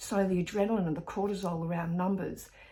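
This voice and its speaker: A woman talks at a moderate pace in a medium pitch. Her voice is somewhat breathy, with fairly even intonation. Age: 60s. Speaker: therapist and fitness vlogger. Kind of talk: casual vlog monologue. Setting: in bed at home. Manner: halting, with self-corrections.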